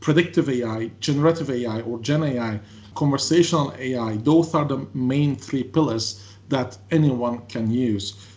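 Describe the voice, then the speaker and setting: At a moderate pace, a man talks in a somewhat breathy voice of medium pitch with ordinary pitch variation. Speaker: tech consultant presenter. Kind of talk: webinar presentation. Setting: online webinar.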